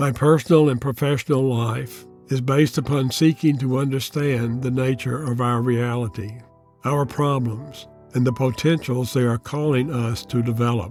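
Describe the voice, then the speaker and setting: Music plays behind a man's voice. He talks at a moderate pace with fairly even intonation. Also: medium pitch for a man. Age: 80s+. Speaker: Jungian analyst and author. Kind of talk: personal essay read to camera.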